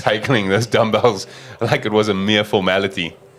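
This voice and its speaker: A man with a fairly low pitch speaks at a moderate pace in a monotone, flat intonation over noticeable background noise. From South Africa, Cape Town. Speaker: sports commentator. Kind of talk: live commentary.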